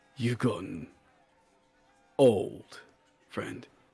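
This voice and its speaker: A man speaks at medium pitch. He uses a put-on character voice. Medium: actual play. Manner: terse, understated.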